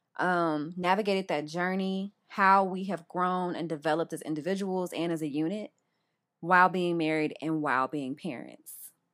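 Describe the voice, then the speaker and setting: In a very clean recording with a silent background, a woman with a normal speaking voice talks at a moderate pace and a fairly low pitch. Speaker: podcast co-host, mother. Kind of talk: casual chat.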